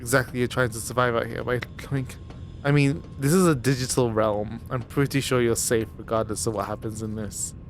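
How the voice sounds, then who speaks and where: Music plays in the background as a man talks at a fairly quick pace. His pitch is medium with ordinary variation. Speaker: gaming streamer. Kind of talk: let's play commentary.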